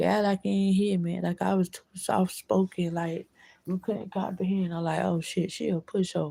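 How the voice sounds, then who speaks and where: The woman's voice has a dark, mellow tone, somewhat breathy, with fairly even intonation. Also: moderate pace. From Florida. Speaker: vlogger. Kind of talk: casual monologue vlog.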